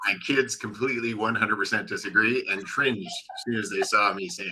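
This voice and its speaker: A man talks at a fairly quick pace. He has a slight Canadian accent. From Canada, a city. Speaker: guest from Canada. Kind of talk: casual chat.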